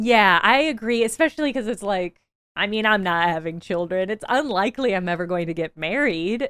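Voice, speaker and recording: A woman's normal speaking voice at a fairly quick pace with lively intonation, in a dry, close sound with no echo and a very clean recording over a silent background. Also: medium pitch for a woman. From Illinois. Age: 30s. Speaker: video essayist. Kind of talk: casual interview.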